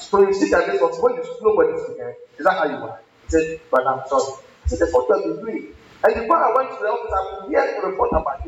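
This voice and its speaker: A man rattles along at a very fast pace while noticeable background noise plays behind him. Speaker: pastor. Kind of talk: sermon. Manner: repetitive.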